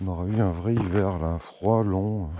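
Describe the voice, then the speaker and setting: A man's very deep, low voice with fairly even intonation, audible room echo and noticeable background noise. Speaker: beekeeper. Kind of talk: casual vlog narration.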